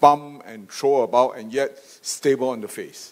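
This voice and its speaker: A man talks at a fairly slow pace. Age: 60s. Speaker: optical company chairman. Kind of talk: panel discussion. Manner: halting, many fillers.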